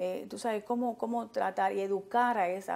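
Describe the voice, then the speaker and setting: Her tone dark and mellow, a woman speaks at a moderate pace and medium pitch with fairly even intonation. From Miami, Little Havana; Miami. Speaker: community activist; TV interview guest. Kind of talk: talk show interview. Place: studio. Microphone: lapel.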